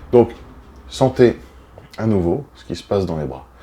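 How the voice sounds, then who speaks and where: Dark and mellow describes this man's tone. He speaks with lively intonation. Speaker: body movement instructor. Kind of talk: guided exercise class. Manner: heavy audible breathing; calm, unhurried.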